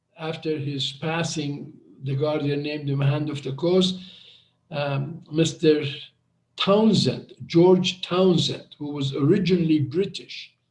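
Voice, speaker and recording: In a fairly high voice, a man speaks at a very slow pace. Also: fairly even intonation. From Western world, of Iranian family. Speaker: Baha'i history presenter. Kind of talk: storytelling talk. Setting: video call. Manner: hesitant, with fillers.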